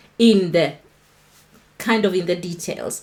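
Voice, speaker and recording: With a Kenyan accent, a woman speaks at a moderate pace with lively intonation. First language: Kikuyu. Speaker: online talk show host. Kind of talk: livestream Bible talk.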